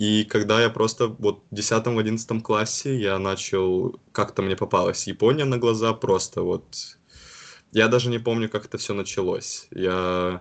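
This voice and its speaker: This man has a normal speaking voice, pitched fairly low. He talks at a fairly slow pace with fairly even intonation. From Karelia, northwest Russia. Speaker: university student. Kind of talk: casual interview.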